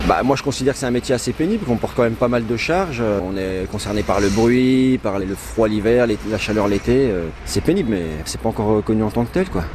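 Against noticeable background noise, a man with a medium pitch speaks at a fairly quick pace with ordinary pitch variation. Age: 40s. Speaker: construction worker. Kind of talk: vox pop interview.

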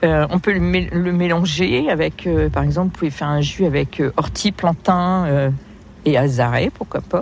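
A woman's very deep, low voice moves through ordinary pitch variation. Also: fairly slow pace. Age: 50s. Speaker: wild plant guide. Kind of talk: outdoor field interview. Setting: outdoors. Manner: hesitant, with many fillers.

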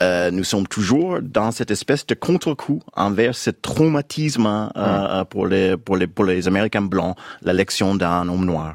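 Delivered with an English accent, the voice sounds dry and close with no echo on a very clean recording with a silent background. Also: man. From United States. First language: English (speaking French). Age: 50s. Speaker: novelist. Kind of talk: radio interview. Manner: halting, many hesitations.

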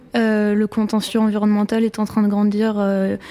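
A dark, mellow tone, monotone and flat in intonation, at a fairly slow pace. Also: woman. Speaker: law graduate. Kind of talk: panel talk. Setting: lecture hall with audience.

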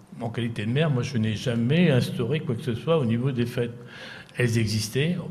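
Against noticeable background noise and audible room echo, a man talks at a moderate pace with ordinary pitch variation. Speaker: former mayor. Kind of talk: interview. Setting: live broadcast from a care home.

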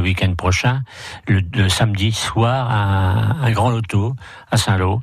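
Someone speaks at a very slow pace with fairly even intonation over noticeable background noise. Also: man. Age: 60s. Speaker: motorcycle club president. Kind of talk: radio interview. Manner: halting.

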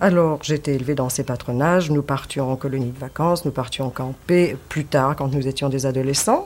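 With a very deep, low pitch, a woman talks at a moderate pace, keeping her intonation fairly even and hardly pausing at all. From Paris, Belleville. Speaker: former resistance member, witness. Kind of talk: testimony.

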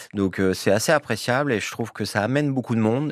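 This is a man speaking. His pitch shows ordinary variation. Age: 50s. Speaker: swimming club president. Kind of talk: radio interview. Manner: halting, many fillers.

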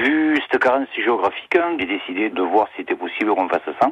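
Fairly quick male speech with noticeable background noise behind it. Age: 50s. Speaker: garage owner. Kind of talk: radio interview.

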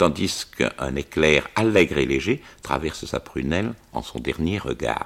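With vocal fry, a man talks at a fairly slow pace in a very deep, low pitch. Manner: measured, formal, clear diction, an explanatory storyteller.

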